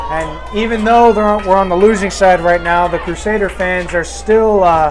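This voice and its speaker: Fairly quick speech with fairly even intonation, music in the background and audible room echo. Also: man. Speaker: football color commentator. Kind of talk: live commentary. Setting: press box at stadium.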